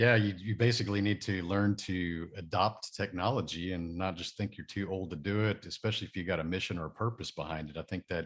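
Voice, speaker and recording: A man with a Texan accent and a very deep, low voice, talking very fast with hardly any pauses and fairly even intonation, on a very clean recording with a silent background. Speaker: podcast host. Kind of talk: interview.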